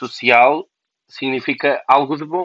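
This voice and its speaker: A man's voice at medium pitch. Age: 20s. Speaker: podcaster. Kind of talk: personal monologue. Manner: halting.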